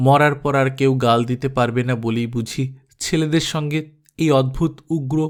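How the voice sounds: A natural reading voice comes through over a quiet background.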